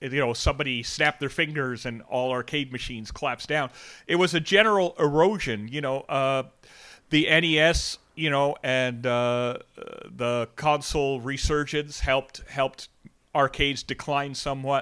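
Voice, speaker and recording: A man with a Canadian accent talks at a moderate pace and a fairly high pitch. His tone is bright and sharp. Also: ordinary pitch variation. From Canada, Toronto area. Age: 40s. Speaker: teacher and gaming enthusiast. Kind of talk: casual chat.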